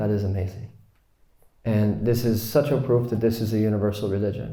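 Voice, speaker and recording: A man with a fairly low pitch and a dark, mellow, somewhat breathy tone talks at a fairly quick pace with fairly even intonation amid audible room echo. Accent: American. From US. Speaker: Islamic teacher. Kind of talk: lecture. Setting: retreat class with audience.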